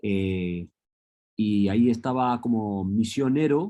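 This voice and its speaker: The man's tone is dark and mellow. His pitch varies in an ordinary way. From Los Angeles, US. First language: English (speaking Spanish). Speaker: professor. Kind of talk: lecture. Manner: hesitant with frequent fillers.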